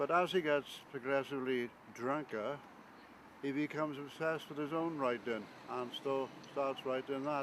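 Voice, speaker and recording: A moderate pace carries the speech. Its intonation remains fairly even. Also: man, fairly high pitch for a man. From Wales, east side of Swansea. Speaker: poet and author. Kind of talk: interview reminiscence.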